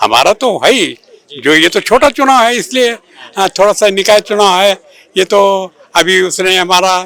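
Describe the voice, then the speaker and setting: A man projects a raised, high-pitched voice with ordinary pitch variation. His loudness stays very even throughout. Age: 80s+. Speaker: voter. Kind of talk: street interview. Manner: halting.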